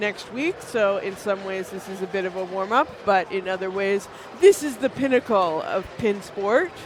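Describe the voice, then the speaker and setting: Someone with a Canadian accent talks at a moderate pace. Noticeable background noise can be heard. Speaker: pinball stream commentator. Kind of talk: live commentary. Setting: stream from a pinball venue.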